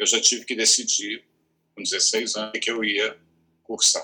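Here a man is speaking. He talks at a very slow pace. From Rio de Janeiro state, Brazil (Petrópolis, Teresópolis). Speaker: theatre director and teacher. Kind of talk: interview conversation.

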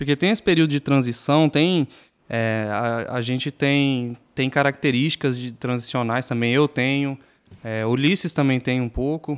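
A man with a plain, everyday voice speaks at a medium pitch and a fairly slow pace, the sound dry and close with no echo. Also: ordinary pitch variation, very clean recording, silent background. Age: 20s. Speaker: podcast co-host. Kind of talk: casual chat.

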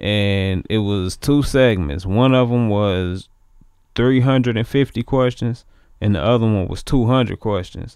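This man has an ordinary speaking voice at a medium pitch, with an American accent. He talks at a fairly slow pace. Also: ordinary pitch variation. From US inner city. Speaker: musician, actor and model. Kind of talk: casual chat. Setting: studio.

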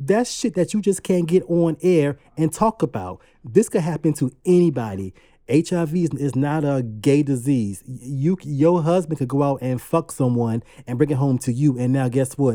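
A man talks at a moderate pace with lively intonation, a fairly high pitch and a dark, mellow tone. The sound is dry and close with no echo, on a very clean recording with a silent background. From US South, Savannah, Georgia. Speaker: podcast co-host, makeup artist. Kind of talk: casual chat.

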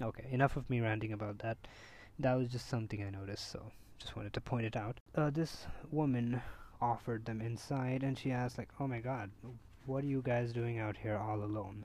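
At a fairly quick pace, a man with a medium-pitched, somewhat breathy voice speaks with fairly even intonation. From India. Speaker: podcast host. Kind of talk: casual chat.

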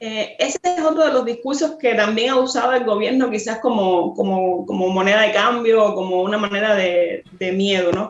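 A woman talks at a moderate pace with a fairly high pitch and lively intonation. Noticeable background noise runs under her voice. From Cuba, Cienfuegos. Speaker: journalist. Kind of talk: interview.

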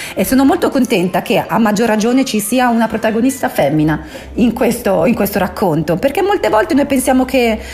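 Over noticeable background noise, a woman talks at a fairly quick pace with a high pitch and an animated tone. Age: 40s. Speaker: radio book-segment host. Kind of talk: casual radio talk.

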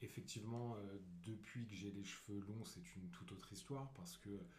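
A man's fairly low, somewhat breathy voice at a moderate pace, with audible room echo. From Paris, France. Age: 30s. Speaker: digital worker. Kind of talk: casual chat.

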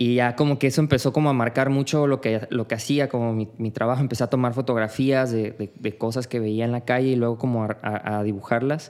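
Speaking in a Mexican accent, a man holds a medium pitch with fairly even intonation. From Mexico (Tepic, Nayarit; childhood in Tabasco). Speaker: street artist. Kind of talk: casual interview conversation.

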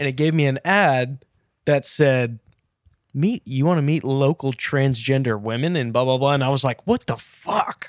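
A man talks at a moderate pace and fairly high pitch. His loudness stays very even, and the sound is dry and close with no echo. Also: ordinary pitch variation. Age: 20s. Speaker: podcast co-host. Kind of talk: casual chat. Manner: animated.

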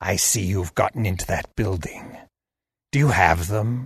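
A put-on character voice comes through as growling. The pace is moderate. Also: man, fairly low pitch for a man. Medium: read story. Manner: stoic, cold, menacing.

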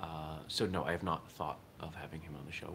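This man's voice sits very deep and low. Noticeable background noise runs behind him. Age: 40s. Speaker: daily podcast host and martial arts instructor. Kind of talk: casual solo monologue. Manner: casual, slightly halting with fillers.

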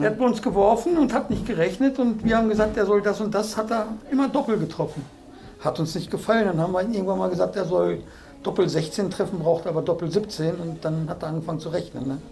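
A man's high-pitched, very fast voice with lively intonation, plus audible room echo and noticeable background noise. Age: 50s. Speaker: amateur dart player. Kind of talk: casual interview chat. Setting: club house.

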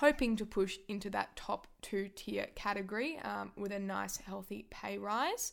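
Speaking at a moderate pace, a woman with an Australian accent is heard in a very clean recording with a silent background. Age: 20s. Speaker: sports podcaster. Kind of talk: solo sports commentary podcast. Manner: animated.

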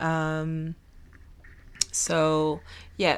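A woman speaks with a French accent on a very clean recording with a silent background. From Belgium. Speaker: podcast host. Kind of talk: solo podcast monologue. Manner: casual, chatty.

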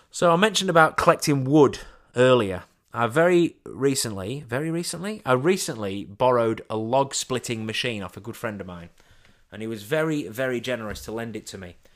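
The recording is very clean with a silent background, and a man speaks fairly quickly at medium pitch in a normal speaking voice. His intonation is lively, with big swings in loudness. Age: 40s. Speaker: podcast host. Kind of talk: casual solo monologue. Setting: home studio.

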